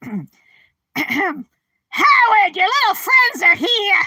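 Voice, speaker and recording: Extremely high in pitch, the put-on character voice moves at a very slow pace. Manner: shrill, yelling.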